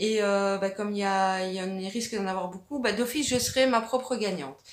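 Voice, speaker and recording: With a Belgian accent, a woman speaks at a moderate pace with ordinary pitch variation amid audible room echo. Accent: Belgian French accent, noticeable. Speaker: arts and crafts YouTuber. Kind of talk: casual vlog answering viewer questions. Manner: hesitant, many fillers (euh, ben).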